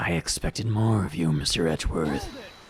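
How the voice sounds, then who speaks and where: In a put-on character voice, a man speaks fairly quickly with a very deep, low pitch and a raspy sound, over clear background noise. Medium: game stream. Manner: smug, mocking.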